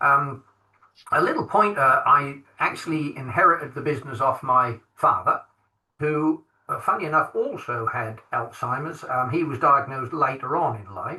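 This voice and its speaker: A man with an English accent speaks at a moderate pace in a fairly high voice, with ordinary pitch variation. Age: 60s. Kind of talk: podcast interview. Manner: halting, many fillers.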